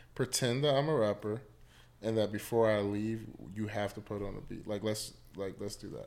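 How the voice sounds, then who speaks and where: A man with an American accent speaks at a moderate pace in an ordinary speaking voice, his pitch fairly low and his intonation fairly even. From US Mid-Atlantic (Washington DC area). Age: 30s. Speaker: psychologist. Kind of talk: casual chat.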